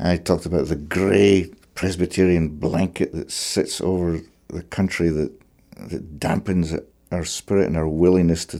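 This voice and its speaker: A man speaks in a very deep, low voice with a Scottish accent and fairly even intonation. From Scotland. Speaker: fiddler. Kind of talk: interview conversation.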